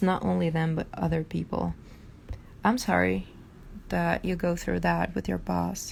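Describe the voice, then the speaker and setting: A woman speaks with a Portuguese accent at a fairly slow pace. She leaves long, frequent pauses. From Brazil. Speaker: artist and hypnotherapist. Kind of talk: casual live stream chat. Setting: live stream. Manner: halting, many fillers.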